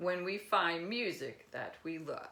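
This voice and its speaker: Using a put-on character voice, a woman delivers her lines at a fairly slow pace. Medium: read story.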